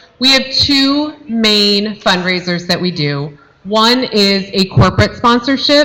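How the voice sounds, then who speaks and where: Through noticeable background noise, a woman speaks at a very slow pace in a fairly high pitch with lively intonation. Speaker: youth football parent volunteer organizer. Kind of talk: informational talk at parent meeting. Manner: loud.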